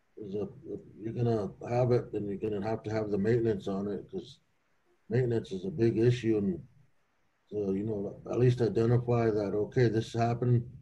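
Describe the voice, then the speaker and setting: Somewhat breathy and dark, mellow in tone, a man's medium-pitched voice moves at a fairly quick pace with ordinary pitch variation. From Pine Ridge, South Dakota; South Dakota. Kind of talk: panel discussion. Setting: video call. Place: office. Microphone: video call.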